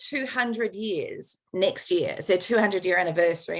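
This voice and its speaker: A woman speaks at a fairly quick pace. She has a New Zealand accent. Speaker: veterinarian and shelter welfare expert. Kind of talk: conference talk.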